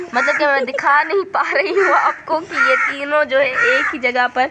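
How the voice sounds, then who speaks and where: A woman speaks in a raised, projected voice, her high pitch swinging very widely. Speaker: home vlogger. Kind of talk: casual vlog narration. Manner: casual, halting with fillers.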